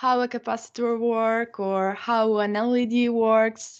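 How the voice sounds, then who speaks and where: A woman with an Italian accent speaks in a monotone, flat intonation. The background is quiet. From northern Italy. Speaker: YouTuber. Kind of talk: casual interview. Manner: halting.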